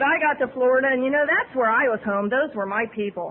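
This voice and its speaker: With a Midwestern American accent, a woman speaks fairly quickly in a high voice over noticeable background noise. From Ohio, USA. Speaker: recovering alcoholic. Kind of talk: AA speaker talk. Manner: fast; humorous.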